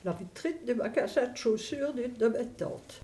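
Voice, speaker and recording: In a Liège accent, a woman speaks fairly slowly in a high voice with a dark, mellow tone and lively intonation. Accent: Belgian French (Liège region). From Belgium, Verviers (Wallonia). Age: 80s+. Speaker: elderly interviewee, grandmother. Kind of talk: documentary interview, reminiscing. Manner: hesitant, with frequent fillers.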